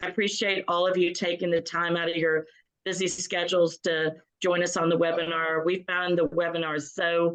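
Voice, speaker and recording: A woman's fairly low voice at a moderate pace. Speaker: museum association executive director. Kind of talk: webinar welcome remarks. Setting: video call webinar.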